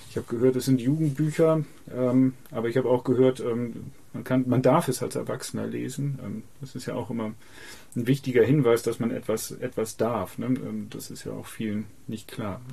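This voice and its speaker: A man's somewhat breathy, medium-pitched voice at a moderate pace, with fairly even intonation and big swings in loudness. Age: 50s. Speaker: author and poet. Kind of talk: interview. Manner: halting, many fillers and repetitions.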